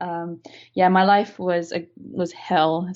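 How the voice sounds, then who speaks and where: A woman's fairly low voice with an American accent and fairly even intonation. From Malaysia. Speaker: game UI/UX designer. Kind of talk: interview. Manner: casual, with many fillers and restarts.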